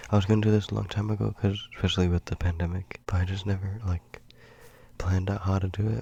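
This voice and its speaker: A soft-spoken man talks at a very fast pace, somewhat breathy. His tone is dark and mellow, his intonation monotone and flat. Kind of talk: soft-spoken ASMR.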